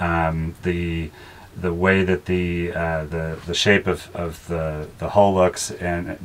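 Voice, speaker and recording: A man speaks in a very deep, low pitch. His intonation is monotone and flat. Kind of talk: casual tour explanation. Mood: relaxed, joking. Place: boat. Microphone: camera far.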